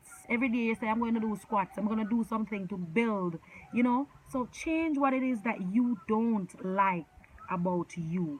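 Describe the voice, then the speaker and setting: Here a woman speaks with an animated tone at a moderate pace. Her voice is fairly high, with ordinary pitch variation. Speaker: lifestyle vlogger. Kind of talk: motivational talk to camera. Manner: loud, commanding.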